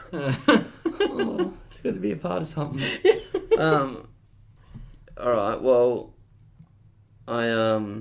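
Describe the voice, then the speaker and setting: At a very slow pace, a man speaks at a medium pitch with lively intonation and long, frequent pauses. His loudness swings widely. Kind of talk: casual podcast banter.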